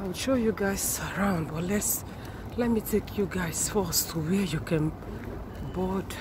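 There is noticeable background noise as a woman speaks at a very slow pace, the sound dry with no echo. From Nigeria. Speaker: YouTuber. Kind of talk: vlog walkthrough. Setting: outdoors at train station. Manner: animated. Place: street. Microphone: phone near.

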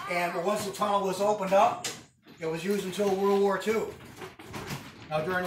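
Over light background noise and with audible room echo, a man speaks at a fairly quick pace with fairly even intonation. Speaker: museum tour guide. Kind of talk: guided tour talk. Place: train. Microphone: camera far.

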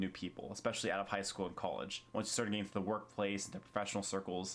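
At a very fast pace, a man gets his words out. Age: 20s. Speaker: YouTuber. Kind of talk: vlog monologue. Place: home room. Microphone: camera far.

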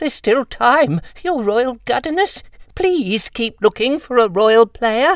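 A put-on character voice with a fairly high pitch comes at a fairly slow pace. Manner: whimpering.

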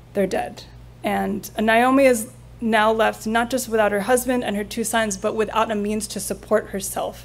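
Vocal fry runs through a woman's voice as she speaks with fairly even intonation. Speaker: preacher. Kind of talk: sermon. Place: church. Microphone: podium.

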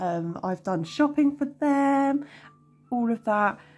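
A woman with a British accent talks at a very slow pace in a dark, mellow tone that is somewhat breathy. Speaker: budgeting vlogger. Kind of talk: casual vlog chat. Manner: hesitant with frequent ums.

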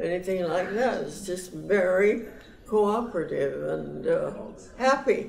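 A woman with an American accent speaks at a fairly slow pace. Audible room echo and light background noise are present. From United States. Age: 80s+. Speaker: centenarian interviewee. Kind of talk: interview answer. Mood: warm, affectionate. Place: home room.

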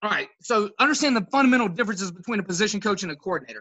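Speaking at a very fast pace, a man uses a high pitch and lively intonation, his tone bright and sharp with a slightly husky edge.

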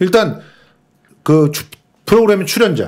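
A man speaks at a high pitch and a fairly quick pace. His pitch varies in an ordinary way over a quiet background. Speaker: cultural critic. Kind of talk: casual chat. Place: studio. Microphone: studio mic.

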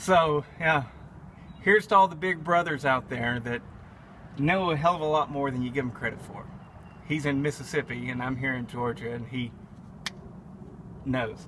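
Noticeable background noise surrounds a man talking at a moderate pace with ordinary pitch variation. He leaves long, frequent pauses. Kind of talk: casual vlog chat. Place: open country.

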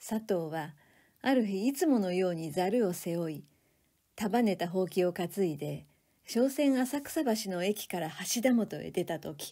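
In a normal speaking voice with lively intonation, the speaker goes at a fairly slow pace on a very clean recording with a silent background. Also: woman, medium pitch for a woman. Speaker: reading instructor, reader of literature. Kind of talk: literary reading aloud, audiobook style. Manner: narrative reading, steady pace.

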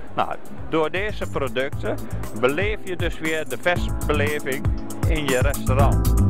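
Against clear background music, a man speaks at a very slow pace in a dry sound with no echo. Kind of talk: interview answer. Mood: proud, promotional. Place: hall. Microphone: handheld.

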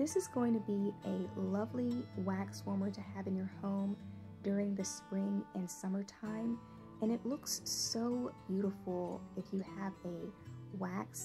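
A soft-spoken woman's very deep, low voice in a calm, soothing tone, fairly slow, with very wide pitch swings and music in the background. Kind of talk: ASMR product review to camera. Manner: soft-spoken, calm, soothing.

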